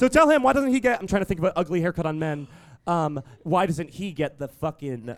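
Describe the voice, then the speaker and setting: A man's high pitch with very wide pitch swings. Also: fairly quick pace. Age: 20s. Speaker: podcast co-host. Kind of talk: live comedy podcast. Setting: stage with audience. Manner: animated.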